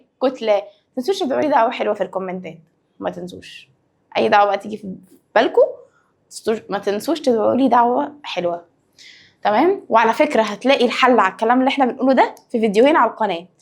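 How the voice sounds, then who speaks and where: A woman with an Egyptian accent talks very fast at a fairly high pitch, her intonation lively. Long, frequent pauses break up her speech. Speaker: science teacher. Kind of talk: lecture. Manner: lowered, quieter voice.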